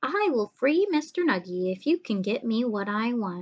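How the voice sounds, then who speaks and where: Using a put-on character voice, a woman speaks at a fairly high pitch and a moderate pace. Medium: read story.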